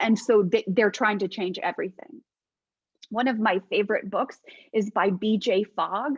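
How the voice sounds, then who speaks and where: A woman talks in an animated tone at a moderate pace, somewhat breathy and fairly high-pitched. Her pitch varies in an ordinary way, and the sound is dry and close with no echo. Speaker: faith-based life coach. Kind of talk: casual teaching talk to online group.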